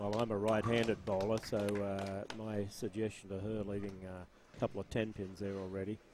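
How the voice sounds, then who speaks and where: A man's fairly low voice moves at a moderate pace. Monotone and flat, his intonation barely shifts. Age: 60s. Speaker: bowling commentator. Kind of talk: live commentary. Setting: bowling alley.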